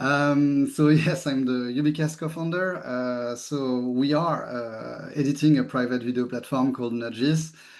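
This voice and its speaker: With a strong French accent, a man speaks at medium pitch and a fairly slow pace, his intonation fairly even and hardly any pauses. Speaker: tech company CEO. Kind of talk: webinar presentation.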